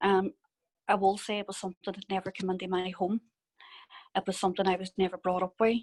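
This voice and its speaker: A woman with a Northern Irish accent talks at a very fast pace in a flat, monotone delivery, broken by long, frequent pauses, recorded with a dry, close sound and no echo. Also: medium pitch for a woman. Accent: Derry Northern Irish. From Northern Ireland, Derry. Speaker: conflict victim witness. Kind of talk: testimony.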